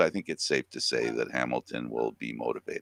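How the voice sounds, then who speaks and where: A man speaks with a Canadian accent, his tone bright and sharp. The recording is very clean, with a silent background and a dry, close sound with no echo. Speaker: talk show host. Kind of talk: casual sports news chat.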